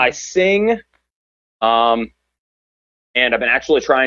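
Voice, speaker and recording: Speaking with an American accent, a man uses lively intonation at a moderate pace and a medium pitch. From Idaho. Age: 30s. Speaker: comedian. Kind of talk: casual chat.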